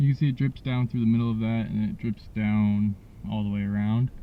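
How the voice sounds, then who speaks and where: Soft-spoken, a man talks at a moderate pace. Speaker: DIY car repair vlogger. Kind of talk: tutorial. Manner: hesitant, many fillers.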